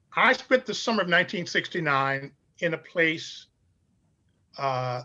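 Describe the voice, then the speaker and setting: A man in an American accent, high-pitched, with a bright, sharp tone and lively intonation. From Chicago, US Midwest. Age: 70s. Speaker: pastor and scholar. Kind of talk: interview storytelling.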